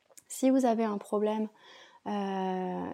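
Medium pitch from a woman, her tone dark and mellow, her intonation fairly even. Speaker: yoga teacher and ayurveda practitioner. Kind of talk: casual solo podcast talk. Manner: hesitant, many fillers.

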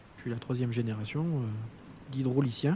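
Medium pitch and fairly even intonation in a man's voice. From Corrèze area, central France. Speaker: plant coordinator. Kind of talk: interview.

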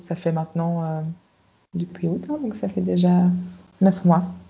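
This woman's voice sits at a fairly low pitch. It is somewhat breathy. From Belgium, Brussels. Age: 40s. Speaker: life and career coach. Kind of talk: interview.

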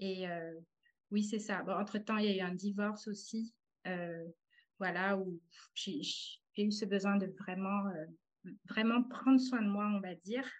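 A woman's somewhat breathy, medium-pitched voice at a very slow pace, fairly even in intonation, with long, frequent pauses. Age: 30s. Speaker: translator turned artist. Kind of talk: testimony. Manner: halting.

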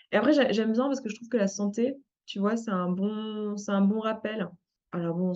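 This woman's tone is dark and mellow. The pitch moves up and down an ordinary amount. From France. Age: 30s. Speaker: life coach and entrepreneur. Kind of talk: interview. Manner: casual, many fillers.

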